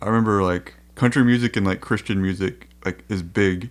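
The recording is very clean, with a silent background. A man speaks at a fairly low pitch with fairly even intonation. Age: 40s. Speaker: podcast host and songwriter. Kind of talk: casual chat. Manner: halting.

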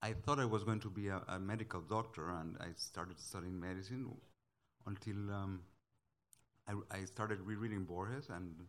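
Someone with a Spanish accent speaks at a moderate pace with fairly even intonation. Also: man, fairly low pitch for a man. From Guatemala. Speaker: novelist. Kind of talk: panel discussion. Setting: stage with audience.

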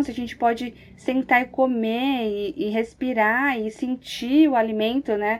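Her pitch is high for a woman, with ordinary pitch variation. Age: 30s. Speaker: mother, pedagogue. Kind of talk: casual chat.

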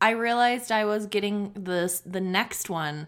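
A woman with an unremarkable speaking voice talks at a fairly slow pace, at a medium pitch with ordinary pitch variation. The recording is very clean, with a silent background. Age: 30s. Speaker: podcast co-host. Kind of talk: casual chat.

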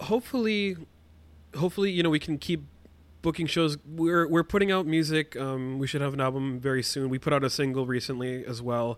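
This man has a plain, everyday voice, pitched fairly high. He moves at a fairly quick pace with ordinary pitch variation. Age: 20s. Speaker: musician and podcast editor. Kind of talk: casual interview.

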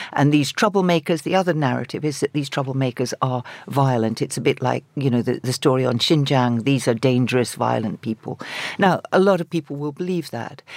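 A woman talks at a fairly quick pace with a very deep, low pitch and ordinary pitch variation. The sound is dry and close, with no echo. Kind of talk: radio panel discussion. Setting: studio. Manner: halting, many repetitions.

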